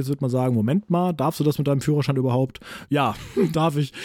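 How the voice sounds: In a dark, mellow tone, a man speaks at medium pitch with fairly even intonation.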